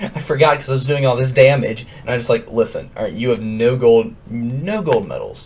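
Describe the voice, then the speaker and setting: Music plays in the background as a man talks at a medium pitch. His intonation is lively. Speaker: gaming youtuber. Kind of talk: casual rant to camera.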